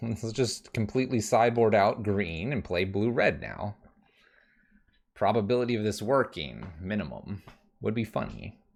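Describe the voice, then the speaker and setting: On a very clean recording with a silent background, a man with a fairly low voice and vocal fry talks at a moderate pace. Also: ordinary pitch variation. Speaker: streamer playing a card game. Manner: casual, thinking aloud.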